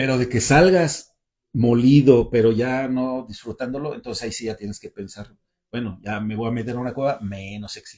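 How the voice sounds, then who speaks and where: Fairly even intonation from a man at medium pitch, his tone dark and mellow. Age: 60s. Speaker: caving and mountaineering instructor. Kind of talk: casual panel chat. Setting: livestream from club storeroom.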